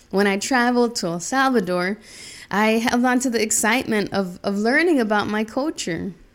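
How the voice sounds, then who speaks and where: A woman with a plain, everyday voice and an American accent speaks at a moderate pace and fairly high pitch with ordinary pitch variation, in a very clean recording with a silent background. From US South, Charlotte, North Carolina. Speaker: podcast host. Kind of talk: personal storytelling monologue.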